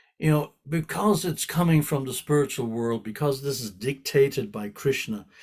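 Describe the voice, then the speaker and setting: Speaking at a moderate pace with hardly any pauses, a man uses a fairly high pitch with ordinary variation and a somewhat breathy quality. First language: not English. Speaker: spiritual teacher. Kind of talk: scripture class. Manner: repetitive, halting.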